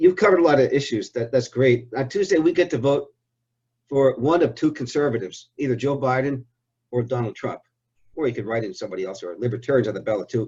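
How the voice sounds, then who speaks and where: A man's medium-pitched, somewhat breathy voice at a very fast pace, with ordinary pitch variation. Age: 60s. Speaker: interviewer. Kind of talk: interview.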